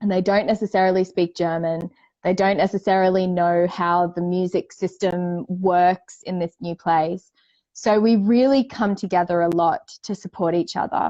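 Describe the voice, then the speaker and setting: A woman with an Australian accent, dark and mellow in tone with fairly even intonation, dry and close with no echo against a quiet background. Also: medium pitch for a woman, moderate pace. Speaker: indie singer-songwriter. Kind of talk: casual chat.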